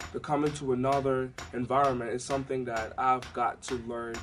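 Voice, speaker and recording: Music plays in the background. A man speaks at a fairly high pitch and a moderate pace. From Africa. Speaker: student. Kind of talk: interview testimony.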